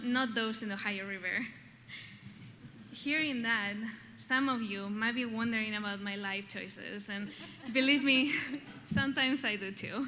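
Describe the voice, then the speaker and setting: With a Basque Spanish accent, a woman speaks at a fairly high pitch and a moderate pace in a room with audible echo. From Basque Country, Spain. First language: Spanish or Basque. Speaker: doctoral graduate, award recipient. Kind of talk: acceptance speech. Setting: stage with audience.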